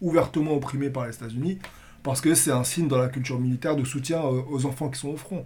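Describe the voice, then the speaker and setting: Male voice at medium pitch, dark and mellow in tone, somewhat breathy, with fairly even intonation and a very fast pace. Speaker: podcast host and moderator. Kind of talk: political roundtable discussion.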